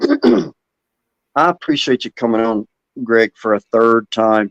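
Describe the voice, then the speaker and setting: With an Alabama accent, a man speaks very slowly at medium pitch and very even loudness, with ordinary pitch variation and a dry, close sound with no echo. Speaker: podcast host. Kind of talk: casual interview.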